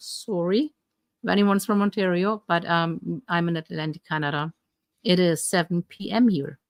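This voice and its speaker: With a German accent, a woman speaks at a fairly low pitch with ordinary pitch variation. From Germany. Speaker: health coach. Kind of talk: live stream Q&A. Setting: live stream.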